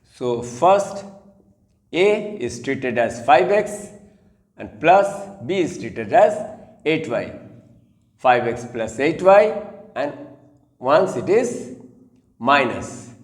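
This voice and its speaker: In a room with audible echo, a man speaks at a very slow pace with long, frequent pauses. His pitch is fairly high and swings very widely. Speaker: math teacher. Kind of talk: tutorial.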